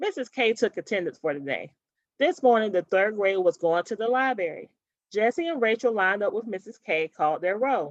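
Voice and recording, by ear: The intonation is lively and the pace moderate. The sound is dry and close, with no echo. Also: woman, medium pitch for a woman.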